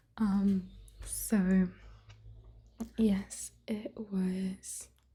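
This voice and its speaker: A somewhat breathy, soft-spoken voice speaks in a whisper. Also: woman. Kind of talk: ASMR soft-spoken ramble. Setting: close microphones. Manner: soft-spoken, quiet, whispery.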